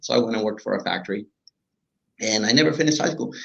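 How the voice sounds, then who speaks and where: Speaking with a Spanish accent at a very fast pace, a man shows ordinary pitch variation. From Honduras. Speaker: business owner. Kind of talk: interview.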